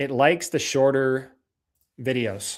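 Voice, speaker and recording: A man's fairly high voice at a fairly slow pace, in a very clean recording with a silent background. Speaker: roofing sales coach. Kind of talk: live training. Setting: livestream. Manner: high energy.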